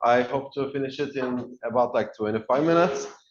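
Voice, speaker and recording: There is audible room echo around a man speaking at a fairly high pitch with fairly even intonation. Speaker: researcher presenting in a university lecture. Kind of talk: lecture. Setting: lecture room, no microphone. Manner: loud, projecting voice; halting, many filler sounds. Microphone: no microphone in the room.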